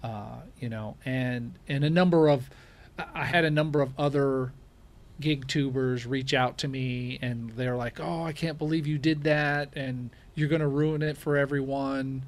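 With a normal speaking voice, a man talks at a fairly slow pace, fairly high in pitch, with fairly even intonation. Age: 40s. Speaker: rideshare driver and YouTuber. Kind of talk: casual interview chat.

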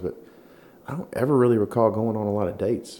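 A man with a Southern US accent at a very fast pace. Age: 40s. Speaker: podcast host. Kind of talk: casual chat.

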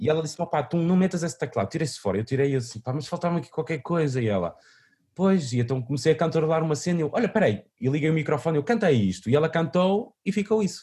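A man rattles off his words at a very fast pace, his fairly high voice full of lively intonation. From northern Portugal, Vila Nova de Famalicão. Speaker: musician. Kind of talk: interview. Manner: halting, many repetitions and fillers.

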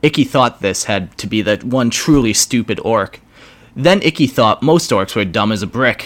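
Lively intonation runs through this clip of someone reading aloud in a natural voice.

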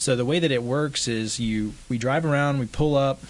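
Spoken with a West Texas accent, the voice keeps a moderate pace and ordinary pitch variation. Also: man. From West Texas (Midland). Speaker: homeless outreach organization founder. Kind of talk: interview.

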